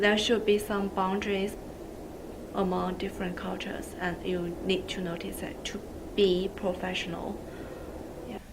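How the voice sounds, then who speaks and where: A woman speaks at medium pitch and a moderate pace, in a monotone, flat intonation with long, frequent pauses. Her loudness swings widely, with audible room echo and noticeable background noise. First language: not English. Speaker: social work student. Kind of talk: video testimony.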